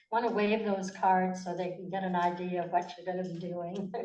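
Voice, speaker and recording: A woman speaks at a moderate pace, and the room echo is audible. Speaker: forum moderator. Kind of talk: moderating candidate forum. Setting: library meeting room with audience. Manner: seated, formal.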